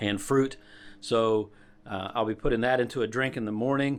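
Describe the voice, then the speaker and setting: Very clean audio of a man, the background completely silent. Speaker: hiking vlogger. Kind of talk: gear tutorial vlog. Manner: casual with many fillers.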